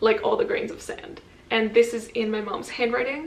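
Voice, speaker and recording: A woman's fairly high voice at a moderate pace, with audible room echo and noticeable background noise. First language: French. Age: 20s. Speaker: vlogger. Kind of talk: casual chat. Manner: casual, with filler words.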